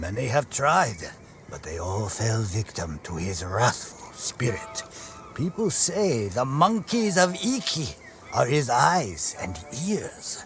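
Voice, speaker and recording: Doing a put-on character voice, a man at a medium pitch speaks at a fairly slow pace with very wide pitch swings, over clear background noise. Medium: video game. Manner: grim, ominous.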